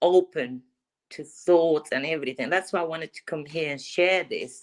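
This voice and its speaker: With a non-native accent, a woman speaks in a fairly low pitch at a moderate pace and fairly even intonation. Her loudness swings widely. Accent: foreign. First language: not English. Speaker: livestream caller. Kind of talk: casual chat. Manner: halting.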